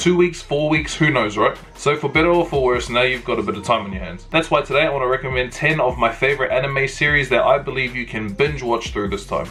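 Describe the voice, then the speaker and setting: With music in the background, a man talks at a very fast pace, hardly pausing at all. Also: medium pitch for a man, ordinary pitch variation. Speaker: anime YouTuber. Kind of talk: casual video commentary. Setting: at home late at night. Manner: keeping voice down, quiet.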